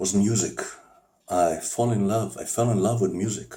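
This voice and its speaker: Very slowly, a man with a non-native accent speaks at a fairly low pitch with fairly even intonation. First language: not English. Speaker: amateur singer. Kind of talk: personal monologue. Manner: halting.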